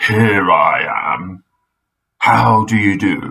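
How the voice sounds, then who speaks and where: Taking on a character, a man uses a raspy, put-on voice. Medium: read story. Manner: polite, genteel.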